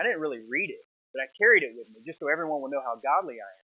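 A man talks at a very fast pace in an American accent. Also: quiet background. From US South. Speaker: pastor; preacher. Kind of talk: sermon. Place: church. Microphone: lapel.

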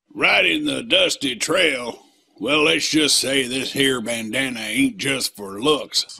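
Putting on a character voice, a man sounds raspy and fairly high-pitched as he talks at a fairly slow pace.

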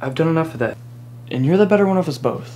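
A man at a fairly quick pace, ordinary pitch variation, light background noise behind him. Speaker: actor in a drama. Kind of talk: scripted dramatic dialogue. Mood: earnest, encouraging. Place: home room.

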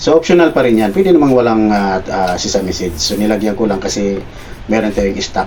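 Speech rushes by at a very fast pace over noticeable background noise. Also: man. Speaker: cooking vlogger. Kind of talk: cooking tutorial. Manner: casual, with frequent filler hesitations.

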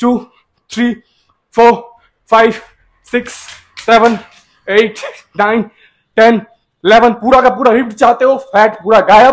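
A man talks slowly at an extremely high pitch, with little pitch movement. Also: few pauses.

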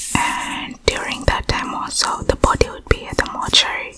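The speaker, a woman, whispers. She goes at a fairly slow pace. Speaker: ASMR creator. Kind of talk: soft storytelling chat. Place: home room. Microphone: studio mic.

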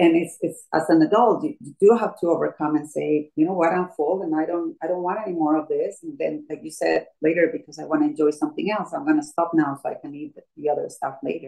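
Against a quiet background, a woman with a Colombian accent talks at a very fast pace with hardly any pauses. Her pitch is fairly low with ordinary variation, and her loudness swings widely. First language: Spanish. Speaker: fitness instructor. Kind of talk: personal story interview. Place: home room. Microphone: video call.

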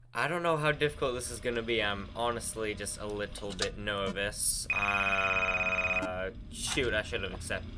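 A man speaks at a moderate pace. Loud background noise sits behind him. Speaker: gaming video creator. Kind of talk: gameplay commentary. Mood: nervous, upbeat. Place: home room.

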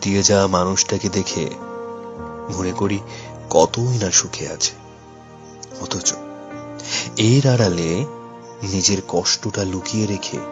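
Music plays in the background. A man talks in a fairly low pitch. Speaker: radio jockey. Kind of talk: emotional story narration.

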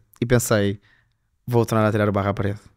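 A man is talking. The background is quiet. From northern Portugal, Famalicão; Portugal. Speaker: fashion designer; podcast guest. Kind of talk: casual chat. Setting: studio. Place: studio. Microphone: studio mic.

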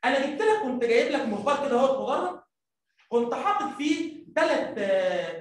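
With an Egyptian accent, a man talks at a moderate pace with an extremely high pitch and very wide pitch swings, and the room echo is audible. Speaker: primary school teacher; teacher. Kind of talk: lecture. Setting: live stream. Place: classroom.

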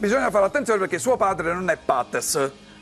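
A man's high-pitched voice with lively intonation over faint music in the background. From Tuscany, Florence area, then Naples; Tuscany. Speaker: comedian. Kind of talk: comic monologue on TV. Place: studio. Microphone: lapel.

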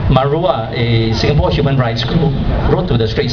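Loud background noise surrounds a man as he talks. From Singapore. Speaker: blog editor. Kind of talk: protest speech. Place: stage. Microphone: pa.

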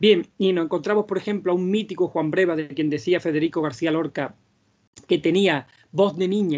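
A man's high-pitched voice at a fairly quick pace over a quiet background. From Andalusia, Vega de Granada; Andalusia. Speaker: flamenco singer and researcher; speaker. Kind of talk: lecture. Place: home room. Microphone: video call.

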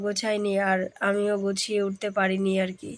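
A woman is talking. Her voice falls at a medium pitch. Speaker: village lifestyle vlogger. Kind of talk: casual vlog narration.

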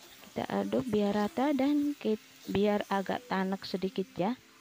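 A woman talks at a fairly slow pace while clear music plays behind her. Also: dry sound with no echo. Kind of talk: cooking tutorial. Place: kitchen. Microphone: phone near.

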